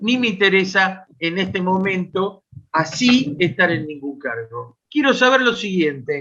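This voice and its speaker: A man with a high pitch and a bright, sharp tone projects a raised voice at a fairly slow pace, his pitch swinging very widely. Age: 70s. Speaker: audience member asking a question. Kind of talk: question at a political online meeting.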